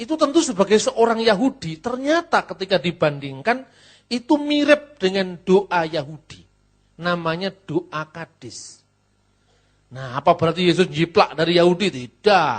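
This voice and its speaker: A man with a Javanese accent and a high pitch, at a fairly slow pace with very wide pitch swings and a quiet background. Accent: noticeably Javanese when speaking Indonesian. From Java, Indonesia. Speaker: pastor and theologian. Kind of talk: lecture.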